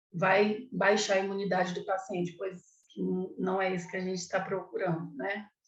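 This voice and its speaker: A woman's somewhat breathy voice at a medium pitch, with monotone, flat intonation and a moderate pace. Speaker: clown costume lecturer. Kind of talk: online lecture.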